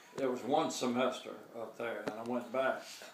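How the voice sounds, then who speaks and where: A man speaks fairly slowly, with noticeable background noise behind him. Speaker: war veteran. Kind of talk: interview answer, family reminiscence.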